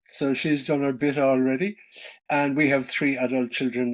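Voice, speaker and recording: In a Cork accent, a man talks at a medium pitch. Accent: Irish, Cork. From Ireland, West Cork. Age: 60s. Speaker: author and traveler. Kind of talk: interview conversation. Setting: Zoom video call from home farm. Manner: hesitant, with fillers.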